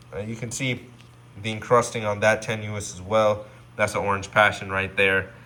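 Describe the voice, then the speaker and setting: A man speaks at a fairly slow pace in a fairly low pitch. His tone is bright and sharp. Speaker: reef aquarium hobbyist YouTuber. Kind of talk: casual video update.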